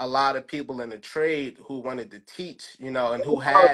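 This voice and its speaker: In a Philadelphia accent, a man talks at a moderate pace with a fairly high pitch and ordinary pitch variation. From North Philadelphia. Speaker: high school plumbing teacher. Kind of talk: interview answer.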